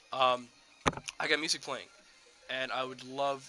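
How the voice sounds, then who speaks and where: Music plays behind a man's voice. His medium pitch stays monotone and flat. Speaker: gaming streamer. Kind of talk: live gameplay stream. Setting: on camera, live stream. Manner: slurred words.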